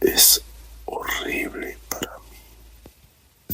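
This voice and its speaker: A man whispers over noticeable background noise. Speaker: ASMR storyteller. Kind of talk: sleep story. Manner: whispered.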